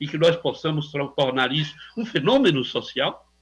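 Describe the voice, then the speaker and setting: A man talks at a high pitch with lively intonation. His tone is bright and sharp, and his pace is moderate. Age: 70s. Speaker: psychiatrist, radio contributor. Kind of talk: radio interview. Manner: halting, searching for words.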